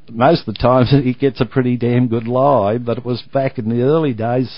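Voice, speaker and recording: With an Australian accent, a man speaks at a fairly quick pace in a medium pitch and with fairly even intonation. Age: 60s. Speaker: retired golf ball businessman. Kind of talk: interview. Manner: casual, chatty.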